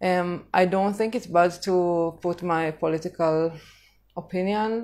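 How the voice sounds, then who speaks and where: On a very clean recording with a silent background, a woman speaks with an Israeli accent at a fairly low pitch and fairly even intonation. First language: Hebrew. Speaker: vlogger on living in Jamaica. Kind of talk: casual live-stream talk. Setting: social media live stream. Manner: hesitant, many fillers.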